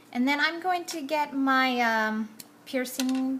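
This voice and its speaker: Over noticeable background noise, a woman speaks at a very slow pace. Her pitch is high and her intonation lively. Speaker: card-making crafter. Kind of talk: tutorial. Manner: casual, chatty.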